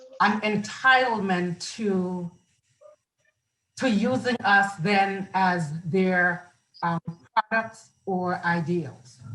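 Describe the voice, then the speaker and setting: In a Central American accent, the speaker goes at a very slow pace with long, frequent pauses and ordinary pitch variation. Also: woman, medium pitch for a woman. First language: Garifuna. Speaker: film festival producer and writer. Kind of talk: interview. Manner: halting.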